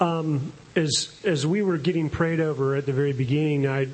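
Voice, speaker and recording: A man's fairly high voice at a moderate pace, fairly even in intonation, over noticeable background noise. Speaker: congregation member. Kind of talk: testimony and prayer.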